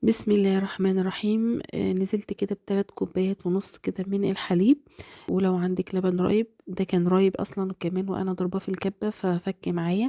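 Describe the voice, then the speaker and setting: Dark, mellow tone at a moderate pace, with monotone, flat intonation and a dry, close sound free of echo. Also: woman, medium pitch for a woman. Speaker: cooking channel host. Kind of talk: cooking tutorial.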